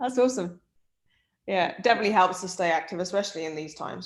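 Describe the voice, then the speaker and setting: Talking at a very fast pace with lively intonation, a woman speaks with an English Midlands accent. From English Midlands, near Birmingham. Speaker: sports performance director. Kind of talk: casual chat.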